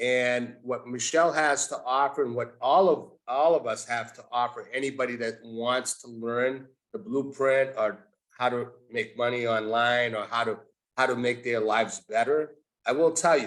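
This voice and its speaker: In a plain, everyday voice, a man of medium pitch speaks at a moderate pace with fairly even intonation. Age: 60s. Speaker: community member. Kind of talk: testimony. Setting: video call.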